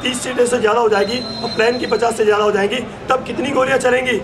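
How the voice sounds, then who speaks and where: A man speaks at an extremely high pitch over noticeable background noise. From Garhwal, Uttarakhand. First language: Garhwali (speaking Hindi). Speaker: activist rally leader, film director. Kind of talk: political rally speech. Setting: outdoor rally. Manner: loud.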